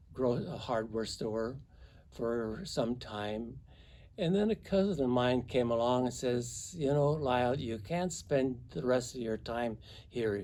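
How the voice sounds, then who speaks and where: A man at medium pitch with a dark, mellow tone and lively intonation, very slow, with audible room echo. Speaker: priest. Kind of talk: testimony.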